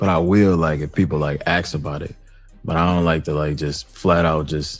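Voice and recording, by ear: A resonant voice at a moderate pace, with ordinary pitch variation and music in the background. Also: man.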